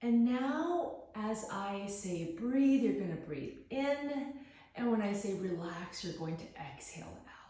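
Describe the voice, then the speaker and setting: Speaking at a very slow pace, a woman uses a medium pitch, very wide pitch swings and a calm, soothing tone amid noticeable background noise. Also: hardly any pauses. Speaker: psychologist and guided meditation host. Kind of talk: guided meditation. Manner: calm, slow, soothing.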